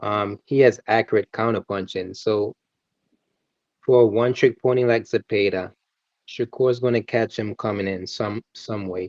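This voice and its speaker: A man with a Caribbean accent talks at a moderate pace in a medium pitch, with fairly even intonation. The sound is dry and close, with no echo. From Antigua. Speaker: boxing and MMA commentator. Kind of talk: casual chat.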